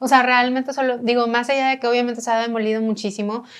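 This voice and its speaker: In a very clean recording with a silent background, a woman talks very fast at fairly high pitch in a monotone, flat intonation. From Monterrey, northern Mexico. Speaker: architect and heritage restorer. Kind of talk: casual interview conversation.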